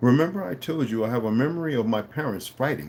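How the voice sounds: Natural reading voice, as heard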